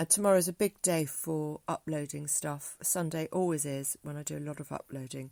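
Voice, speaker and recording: Heard in a very clean recording with a silent background and a dry, close sound with no echo, the voice has a southern English accent and ordinary pitch variation. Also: woman. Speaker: music teacher and spoken word artist. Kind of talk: casual vlog monologue. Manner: halting, many fillers.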